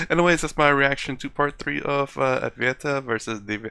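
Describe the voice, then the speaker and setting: A man with an unremarkable speaking voice, fairly high pitch, fairly even intonation and a moderate pace. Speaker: reaction video youtuber. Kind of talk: casual video commentary.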